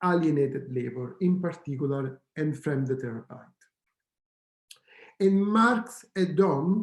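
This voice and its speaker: A man with an Italian accent speaks at a very slow pace with long, frequent pauses. His pitch is fairly high and his intonation lively. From Italy. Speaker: professor. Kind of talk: lecture. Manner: hesitant, with fillers and self-corrections.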